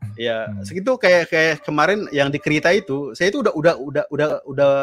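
The pace is very fast. The background is quiet. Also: man. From Jakarta, Betawi; Jakarta. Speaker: UI/UX designer; guest. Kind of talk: casual interview chat on a live stream. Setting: live stream call. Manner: halting, many fillers. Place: home room. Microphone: studio mic.

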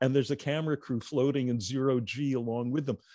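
A man speaks at a fairly quick pace in a dark, mellow tone, his intonation fairly even. The sound is dry with no echo against a quiet background. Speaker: movie talk show co-host. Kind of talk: casual chat about films. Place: home room. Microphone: handheld.

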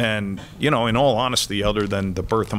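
A man with an American accent, fairly low-pitched, at a moderate pace with fairly even intonation. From New Jersey, US. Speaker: consultant, former stock exchange trader; guest. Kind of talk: interview in front of a class. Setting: classroom with student audience. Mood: reflective, storytelling. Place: stage. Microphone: podium.

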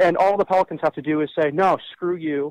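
An American accent at a fairly quick pace, with a quiet background and dry sound with no echo. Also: man. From Los Angeles. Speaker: rock singer and Lakers fan. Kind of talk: casual chat. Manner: animated. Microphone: phone line.

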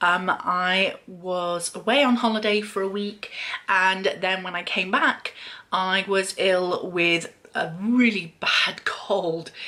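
A woman speaks with a British accent. Her tone is bright and sharp. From Great Britain. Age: 40s. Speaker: beauty YouTuber; beauty vlogger. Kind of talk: casual vlog talk to camera. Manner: hesitant with frequent fillers. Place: home room. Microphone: webcam.

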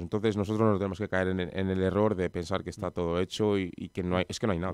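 Speaking very fast in a flat monotone, a man with a fairly low voice has a slight Madrid accent. The recording is dry with no echo and the background is quiet. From Madrid, Spain; Spain. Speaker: professional footballer; guest. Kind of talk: radio interview. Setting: radio studio. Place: studio. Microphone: studio mic.

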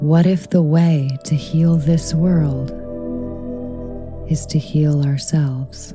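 Very deep, low pitch from a woman, with monotone, flat intonation, very even loudness, a very slow pace, long, frequent pauses and music in the background. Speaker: poet. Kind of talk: spoken word poetry reading.

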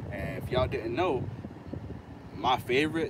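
A man with an American accent speaks at a fairly high pitch, the sound dry with no echo and noticeable background noise present. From Florida. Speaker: lawn care YouTuber. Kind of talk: live stream casual talk. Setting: outdoors. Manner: animated. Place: car. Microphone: phone near.

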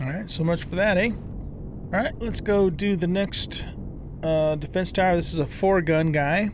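Noticeable background noise under a man's high voice at a fairly slow pace, in a dry sound with no echo. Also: ordinary pitch variation. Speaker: gaming video creator. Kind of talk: let's play gameplay commentary; gameplay commentary. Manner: relaxed, casual with many fillers.

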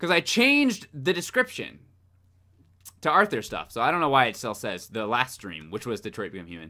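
A man speaks at a medium pitch and a fairly quick pace with vocal fry, a bright, sharp, animated tone, very wide pitch swings and big swings in loudness over a quiet background. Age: 20s. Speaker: gaming streamer. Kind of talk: live gameplay stream chat. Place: home room.

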